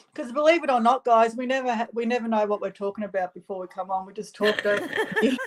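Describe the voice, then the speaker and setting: Delivered at a very fast pace with an Australian accent, the speech has ordinary pitch variation and big swings in loudness. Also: woman, fairly high pitch for a woman. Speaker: live stream co-host. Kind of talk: casual chat. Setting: live stream with chat.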